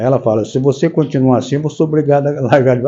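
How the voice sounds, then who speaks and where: The man's voice has a dark, mellow tone. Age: 80s+. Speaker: spiritist lecturer. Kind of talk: religious talk. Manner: halting.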